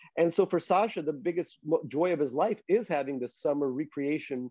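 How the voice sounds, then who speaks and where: The man's intonation is lively. He talks at a fairly quick pace. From Queens, New York, US. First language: Russian. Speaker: novelist. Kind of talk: interview conversation.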